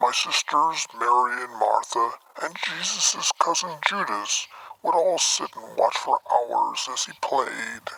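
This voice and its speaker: The man adopts a put-on character voice, talking fairly slowly. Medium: machinima. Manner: wry, unhurried storytelling.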